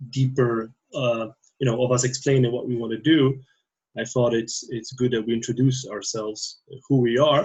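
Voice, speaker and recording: A man speaks at a moderate pace with a non-native accent. His medium-pitched voice is somewhat breathy and monotone, with flat intonation. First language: not English. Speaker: theology PhD student and priest. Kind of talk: casual podcast conversation. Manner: halting, many fillers.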